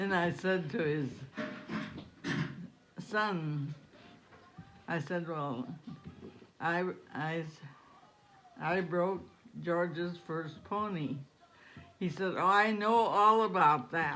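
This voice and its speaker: Music plays behind a woman speaking at a very slow pace, with long, frequent pauses. Her pitch is fairly low, with ordinary variation. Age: 80s+. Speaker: retired ranch woman, horse breaker. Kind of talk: storytelling in conversation.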